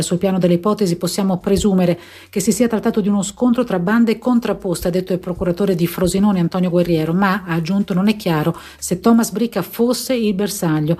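Speaking very fast, a woman with a medium pitch sounds somewhat breathy, with a dark, mellow tone. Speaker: emergency doctor. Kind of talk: radio interview.

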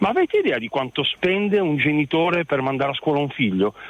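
A man in a plain, everyday voice, fairly high in pitch, moves at a fairly quick pace with lively intonation. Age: 50s. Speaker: radio caller, father. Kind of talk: radio phone-in call.

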